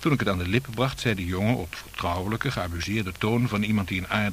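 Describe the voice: The speaker does plain reading aloud, and the pitch varies in an ordinary way.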